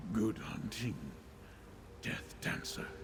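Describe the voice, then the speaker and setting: Through loud background noise, a man uses a put-on character voice with a solemn tone at a medium pitch. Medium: video game. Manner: solemn, measured.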